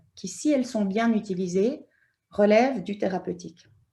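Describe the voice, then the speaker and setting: A woman's somewhat breathy voice has a dark, mellow tone over a quiet background. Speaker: anthropologist, university lecturer. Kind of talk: conference talk. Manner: hesitant, many fillers.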